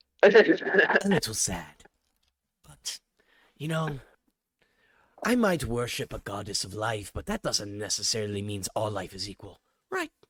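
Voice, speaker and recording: A man puts on a character voice at medium pitch, speaking at a moderate pace with long, frequent pauses. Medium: actual play. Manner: relaxed, wry.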